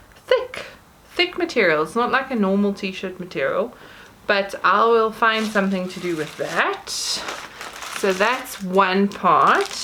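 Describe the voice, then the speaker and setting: A woman speaks at a very slow pace in a medium pitch, with ordinary pitch variation. Noticeable background noise is present. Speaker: YouTuber. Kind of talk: unboxing haul video. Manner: casual, chatty with hesitations.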